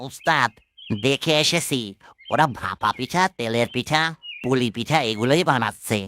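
A man does a cartoonish character voice at medium pitch and a fairly slow pace, with ordinary pitch variation and very even loudness, in a dry, close sound with no echo. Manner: whiny, complaining.

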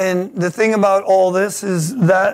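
A high-pitched male voice at a very slow pace, with fairly even intonation over a quiet background. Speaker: pastor. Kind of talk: sermon. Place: church.

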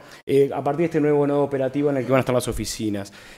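This man talks at a very fast pace. His pitch varies in an ordinary way. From Uruguay. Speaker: architect. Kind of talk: lecture. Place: hall. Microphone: podium.

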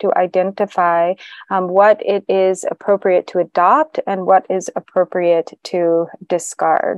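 A woman speaks with fairly even intonation in a dry sound with no echo, against a quiet background. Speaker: interpreter for a Buddhist teacher. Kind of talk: interpreted dharma teaching. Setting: meditation center with audience. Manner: halting, many filler sounds. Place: hall.

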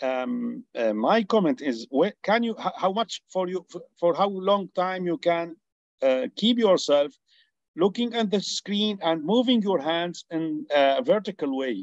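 A man's high-pitched voice in an Arabic accent, at a very slow pace with lively intonation, dry with no echo against a quiet background. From Syria. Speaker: neurosurgeon. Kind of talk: Q&A comment in webinar; discussion question and comment in webinar. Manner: halting. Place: home room. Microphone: video call.

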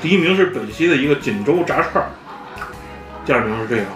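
A fairly quick pace over clear music in the background. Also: man. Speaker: food reviewer. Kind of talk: casual vlog chat. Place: cafe.

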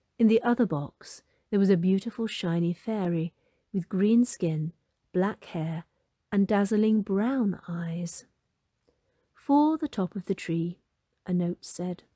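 A woman at a fairly slow pace, somewhat breathy, with a dark, mellow and gentle, warm tone, in a dry, close sound with no echo. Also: medium pitch for a woman, ordinary pitch variation. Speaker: storybook narrator. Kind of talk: fairy-tale narration, storybook reading aloud. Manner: gentle, warm and animated, with a storyteller's lilt; clear, unhurried pacing, voicing Molly, mum, dad and fairy.

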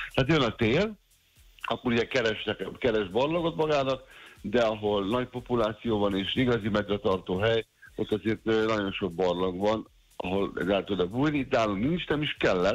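Against a quiet background, a man talks at a moderate pace with very even loudness and ordinary pitch variation. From Hungary. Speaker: wildlife expert, former bear sanctuary director; guest. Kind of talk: casual interview. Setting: phone call. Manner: humorous. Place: studio. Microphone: studio mic.

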